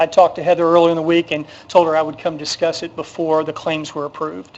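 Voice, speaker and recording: A man with a fairly high pitch talks at a very fast pace. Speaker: city parks and events staff member. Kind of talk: council meeting presentation. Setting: city council chamber. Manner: halting, many fillers.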